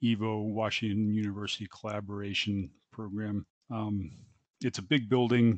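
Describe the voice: A quiet background behind plain reading aloud.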